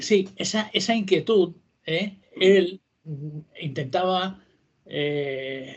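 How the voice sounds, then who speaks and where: Very slowly, a man speaks in a high pitch. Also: ordinary pitch variation. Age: 70s. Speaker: author and history popularizer. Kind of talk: interview.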